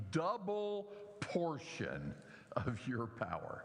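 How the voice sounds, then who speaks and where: A man with a Southern US accent swings very widely in pitch, his voice carrying audible room echo. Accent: southern drawl. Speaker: pastor. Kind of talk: sermon.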